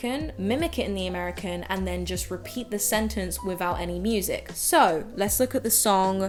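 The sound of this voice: An unforced reading voice carries the clip.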